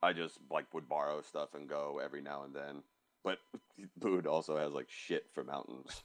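His voice very deep and low with vocal fry, a man speaks at a moderate pace with fairly even intonation. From New York. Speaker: designer. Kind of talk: casual chat.

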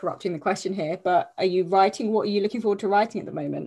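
This is a woman's voice. She talks with a British accent. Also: quiet background. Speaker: podcast host. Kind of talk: casual interview chat.

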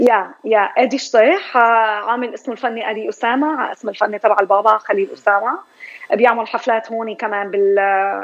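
At a moderate pace, a woman with an unremarkable speaking voice talks at a fairly high pitch with fairly even intonation. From Syria. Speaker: psychology professor and writer. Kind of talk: radio interview.

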